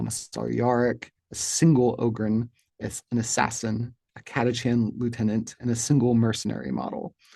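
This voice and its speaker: Against a quiet background, a man speaks with an Appalachian accent at a moderate pace, his medium-pitched voice dark and mellow, his intonation fairly even. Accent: Appalachian regional pronunciation. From US, rural Appalachia. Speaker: wargaming hobby channel host. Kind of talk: scripted monologue to camera. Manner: formal.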